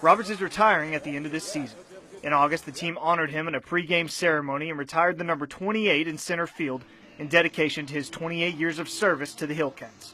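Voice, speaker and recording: A man with an American accent, fairly high in pitch, at a very fast pace with fairly even intonation, over noticeable background noise. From Oklahoma. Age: 20s. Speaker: sports reporter. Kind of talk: TV news feature narration.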